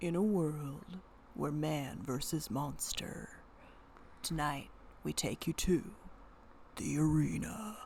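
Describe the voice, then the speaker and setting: A put-on character voice at a low-to-middle pitch, fairly slow, with long, frequent pauses and clear background noise. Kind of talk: dramatic.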